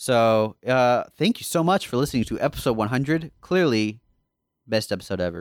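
Lively in intonation, a man with an American accent, medium pitch and an ordinary speaking voice talks at a moderate pace. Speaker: podcast host. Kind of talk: casual chat.

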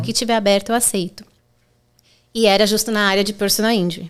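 A woman is speaking. She has a São Paulo accent. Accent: Brazilian Portuguese, São Paulo (paulistano). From Brazil, São Paulo. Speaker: personal injury lawyer. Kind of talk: podcast interview.

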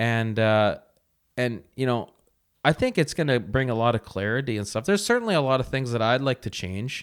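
On a very clean recording with a silent background, a man with a normal speaking voice talks fairly quickly at a medium pitch with ordinary pitch variation. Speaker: host's partner, podcast guest. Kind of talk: casual chat. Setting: home recording beside host.

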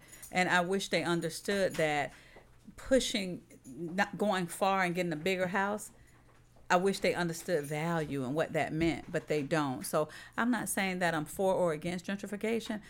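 The woman's pitch is fairly low, her pace moderate, and her pitch variation ordinary. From Florida, South St. Petersburg. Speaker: real estate investor. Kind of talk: interview.

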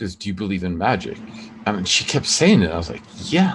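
A man speaks with an American accent at a fairly low pitch. His pace is moderate. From New York. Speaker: podcast host and jazz saxophonist. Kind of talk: casual chat. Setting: video call.

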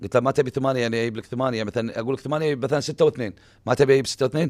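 In a Kuwaiti accent, a man of medium pitch talks at a very fast pace with ordinary pitch variation. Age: young. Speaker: retired footballer. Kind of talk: casual interview. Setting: radio studio. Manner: sounds agitated when speaking.

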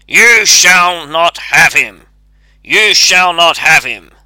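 A man's gruff, shouted put-on character voice, high in pitch with ordinary variation, at a very slow pace. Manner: shouting, crying out.

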